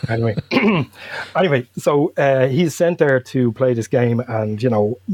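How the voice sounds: Speaking in a Dublin accent, a man uses a medium pitch and a slightly mellow tone, with ordinary pitch variation at a fairly slow pace. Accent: Dublin Irish.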